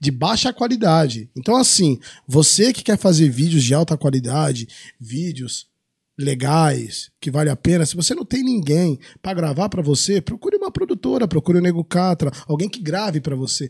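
A loud voice with very wide pitch swings comes at a moderate pace in a very clean recording with a silent background and a dry, close sound with no echo. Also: man. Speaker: adult film actor. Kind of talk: casual chat. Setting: studio. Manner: varying loudness.

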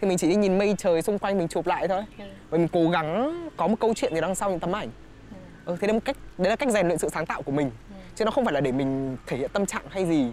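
A man with a high-pitched voice talks at a very fast pace. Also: lively intonation. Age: 20s. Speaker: recent graduate and stage performer. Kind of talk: casual interview.

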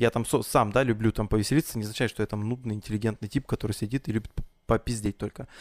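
A man talks very fast in a fairly low pitch with fairly even intonation. The sound is dry and close, with no echo. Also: very clean recording, silent background. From Russian Far East (Blagoveshchensk). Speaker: event host and podcast host. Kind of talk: casual chat.

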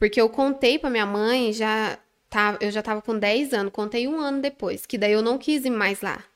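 A woman talks at a moderate pace in a normal speaking voice, fairly high in pitch, with ordinary pitch variation. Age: 20s. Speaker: manicure and nail instructor. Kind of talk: casual interview. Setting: studio.

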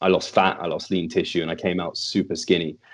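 A man with a British accent, very deep and low in pitch, talking at a very fast pace against a quiet background. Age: 30s. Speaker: fitness podcast host and coach. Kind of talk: interview conversation.

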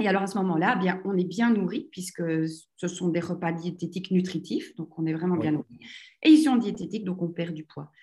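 Somewhat breathy and dark, mellow in tone, a woman talks at a fairly quick pace and medium pitch with ordinary pitch variation. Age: 40s. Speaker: entrepreneur. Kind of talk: interview. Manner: animated.

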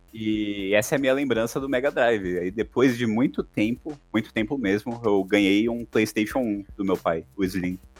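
A man talks at a moderate pace in an ordinary speaking voice. His pitch is fairly low, with ordinary variation. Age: 20s. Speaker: podcast co-host. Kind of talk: casual chat.

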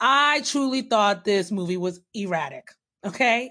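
The speaker talks at a fairly slow pace, with ordinary pitch variation. It is an ordinary speaking voice. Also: woman. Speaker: podcast host. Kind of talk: casual chat.

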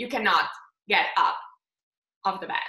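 With audible room echo, a woman speaks in a Slovenian accent. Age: 20s. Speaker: face yoga instructor. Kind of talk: interview.

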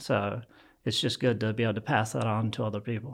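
A man's voice with vocal fry at a medium pitch and fairly quick pace, on a very clean recording with a silent background. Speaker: real estate and business mentor. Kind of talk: casual interview chat.

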